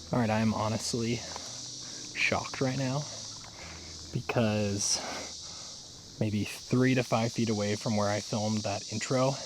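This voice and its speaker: Quiet whispering comes at a fairly slow pace, with audible room echo and noticeable background noise around it. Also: man. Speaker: rock hunting video creator. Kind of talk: casual vlog narration. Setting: outdoors in woods by a river. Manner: whispering, quiet.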